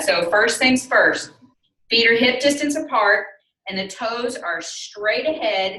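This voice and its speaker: A woman with a Southern US accent speaks at a fairly high pitch in a bright, sharp tone, with audible room echo. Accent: southern drawl. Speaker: yoga instructor. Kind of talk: fitness class instruction.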